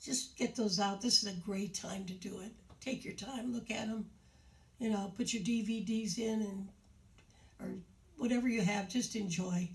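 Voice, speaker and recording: A woman speaks at a medium pitch with a warm, somewhat breathy tone and fairly even intonation. She leaves long, frequent pauses, and the room echo is audible. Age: 80s+. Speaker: retirement community show host. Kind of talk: casual talk to residents on video. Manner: halting, with many fillers; warm and chatty.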